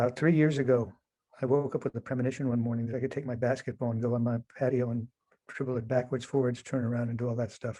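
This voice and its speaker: Over a quiet background, a man races along at a very fast pace in a medium pitch, his tone dark and mellow and his intonation monotone and flat. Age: 70s. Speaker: person with Parkinson's sharing experience. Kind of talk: casual chat. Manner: halting.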